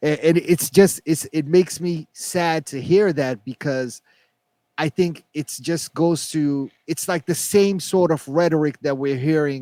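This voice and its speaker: A man with a non-native accent and a dark, mellow tone speaks at a fairly high pitch and a fairly slow pace, with fairly even intonation in a dry, close sound with no echo. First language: not English. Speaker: podcast co-host. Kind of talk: casual chat. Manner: halting.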